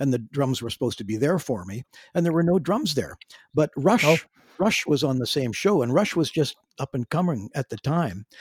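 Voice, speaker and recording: A man with a Canadian accent speaks fairly quickly at a fairly high pitch, with very wide pitch swings and a somewhat breathy voice. The recording is very clean and dry, with a close sound, no echo and a silent background. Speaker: drummer and singer in a classic rock band. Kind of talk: casual interview chat. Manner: halting, with repeated words.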